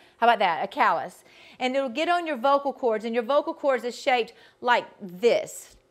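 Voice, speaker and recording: A woman with a Georgia accent speaks at a high pitch with lively intonation. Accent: Southern US (Georgia) drawl. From US South, Georgia. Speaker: vocal coach. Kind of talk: online workshop instruction. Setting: video call.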